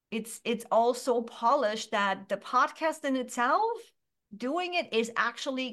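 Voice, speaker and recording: A woman speaks loudly and at a fairly slow pace, her fairly high voice bright and sharp with an animated tone. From Germany. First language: German. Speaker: business coach. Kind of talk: interview.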